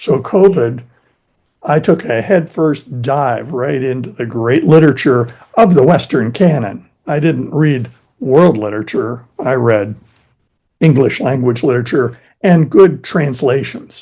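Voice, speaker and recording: A man's somewhat breathy, medium-pitched voice with an American accent and a dark, mellow tone, at a fairly slow pace with ordinary pitch variation. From US East Coast, Philadelphia-born. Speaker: YouTube English teacher. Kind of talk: casual interview conversation.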